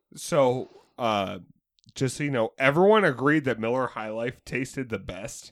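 The delivery is fairly slow, in an unremarkable speaking voice. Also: man, medium pitch for a man, very clean recording, silent background. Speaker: podcast co-host. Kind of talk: casual chat.

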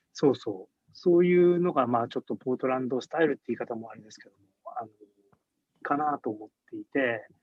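A man with an ordinary speaking voice talks at a fairly quick pace and medium pitch, with ordinary pitch variation and big swings in loudness. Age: 60s. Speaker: beer product developer and brewery founder. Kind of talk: casual interview.

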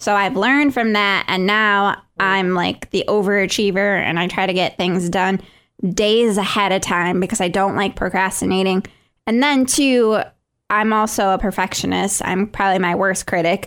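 A woman in an American accent at a moderate pace, fairly even in intonation and very even in loudness, on a very clean recording with a silent background. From Michigan. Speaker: podcast co-host. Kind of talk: casual chat.

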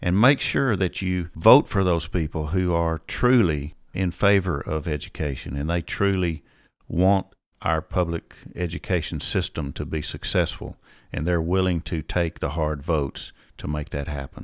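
A man speaks at a moderate pace with a very deep, low pitch and ordinary pitch variation, on a very clean recording with a silent background. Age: 50s. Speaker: education consultant and podcast host. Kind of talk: solo podcast monologue. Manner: conversational, with fillers.

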